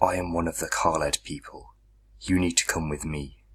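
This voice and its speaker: In a put-on character voice, a man speaks very deep and low, gravelly and gruff. His pace is moderate. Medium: read story. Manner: gruff, terse.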